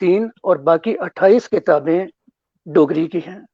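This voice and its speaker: This man speaks with a Dogri accent at a high pitch. His pitch variation is ordinary. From Jammu, Udhampur. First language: Dogri (speaking Hindi). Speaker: author and former broadcaster. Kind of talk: interview. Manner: formal; halting.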